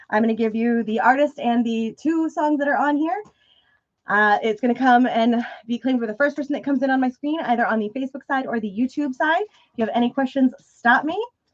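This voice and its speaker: The speech moves at a fairly quick pace with ordinary pitch variation. The sound is dry and close, with no echo. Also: woman, high pitch for a woman. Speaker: record store live stream host. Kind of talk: live sales stream. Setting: live stream. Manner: fast; animated.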